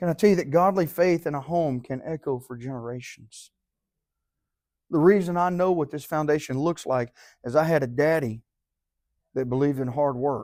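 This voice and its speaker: A man with a fairly high pitch and ordinary pitch variation, long, frequent pauses, on a very clean recording with a silent background. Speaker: Sunday school teacher. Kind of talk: sermon. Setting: church. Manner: fast; animated.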